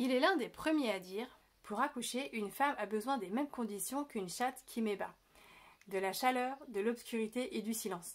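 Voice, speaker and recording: Ordinary pitch variation and a moderate pace from a woman with a fairly high pitch. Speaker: birth preparation coach, video creator. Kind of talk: educational video monologue. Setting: indoors, window open. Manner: casual, lively.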